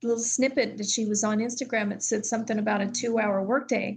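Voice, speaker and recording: The woman's voice is fairly high and somewhat breathy. She keeps fairly even intonation at a fairly quick pace. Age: 70s. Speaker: former business owner. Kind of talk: testimony.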